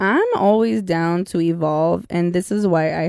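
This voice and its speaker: In a very clean recording with a silent background and a dry, close sound with no echo, a woman with a Spanish accent speaks very slowly at a fairly low pitch with lively intonation. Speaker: podcast host, behavior analyst. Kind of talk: casual podcast monologue. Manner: casual, chatty.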